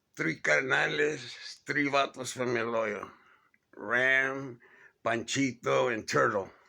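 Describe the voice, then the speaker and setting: At a very slow pace with long, frequent pauses, a man with an American accent speaks in a bright, sharp tone marked by vocal fry. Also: medium pitch for a man, ordinary pitch variation. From East Los Angeles, Maravilla barrio. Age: 60s. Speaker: neighborhood storyteller. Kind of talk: casual reminiscence monologue. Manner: casual, conversational.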